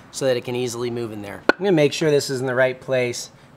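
A man talks fairly quickly, with ordinary pitch variation, over noticeable background noise. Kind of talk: tutorial. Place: street. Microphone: phone near.

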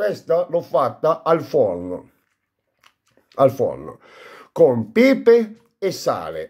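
Against a quiet background, a man with a Bari accent talks at a very slow pace. Long, frequent pauses break up his speech. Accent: Bari Apulian Italian. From Apulia, Bari area; Apulia. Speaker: food vlogger. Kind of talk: casual eating vlog. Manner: animated. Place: home room. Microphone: phone near.

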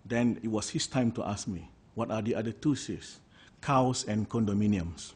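This man, somewhat breathy and fairly low in pitch, speaks at a moderate pace with ordinary pitch variation. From Malaysia. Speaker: politician; panelist. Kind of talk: public lecture. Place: meeting room. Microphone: podium.

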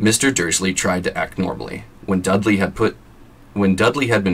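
Fairly even intonation in a natural reading voice.

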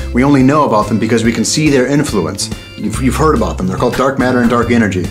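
Clear music plays in the background while a man speaks with very wide pitch swings. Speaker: vlogger. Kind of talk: casual talk to camera. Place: home room.

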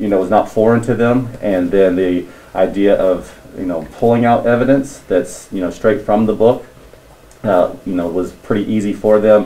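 In an unremarkable speaking voice, the speaker goes at a moderate pace with ordinary pitch variation. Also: man, fairly low pitch for a man. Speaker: teacher in staff meeting. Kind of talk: meeting report. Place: classroom. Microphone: camera far.

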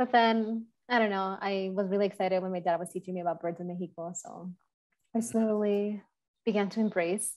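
An American accent at a fairly quick pace. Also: woman. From Chicago. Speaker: bird conservationist; panelist. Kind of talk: panel discussion. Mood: warm, personal, reflective. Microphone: video call.

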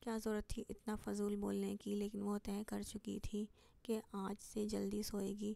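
The speaker reads. It is a natural reading voice.

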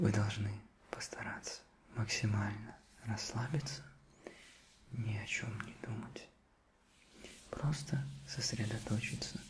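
A man whispering in a soothing tone, with long, frequent pauses and light background noise. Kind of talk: soft-spoken ASMR role-play. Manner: slow soothing whisper.

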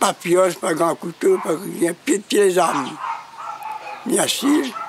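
Speaking very slowly with lively intonation and very even loudness, a man with a high voice comes through a dry, echo-free recording that has noticeable background noise. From Réunion, Grand Bois; Réunion. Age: 80s+. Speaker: interviewee. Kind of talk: interview answer. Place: garden.

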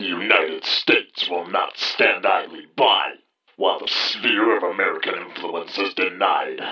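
At a moderate pace, a man talks in a raspy voice pitched extremely high. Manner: grave, pompous.

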